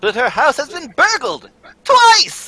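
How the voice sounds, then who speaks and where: A put-on character voice with a high pitch jumps through very wide pitch swings. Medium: stage play.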